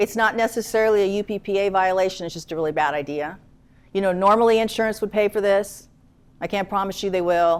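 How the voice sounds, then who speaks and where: Very fast delivery with fairly even intonation. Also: woman, medium pitch for a woman. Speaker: attorney. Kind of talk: lecture.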